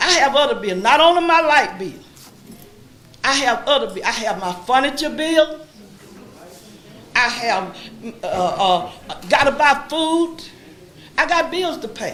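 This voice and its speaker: A woman with an American accent speaks high and fairly slowly, her pitch swinging very widely, with long, frequent pauses. Background noise is noticeable, and room echo is audible. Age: 70s. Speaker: resident speaking at public comment. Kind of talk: public comment at council meeting. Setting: city council meeting.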